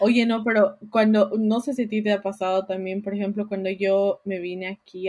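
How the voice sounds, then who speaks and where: This woman has a dark, mellow tone at a medium pitch and keeps a moderate pace. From Bolivia, La Paz. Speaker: podcast co-host. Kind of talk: casual chat.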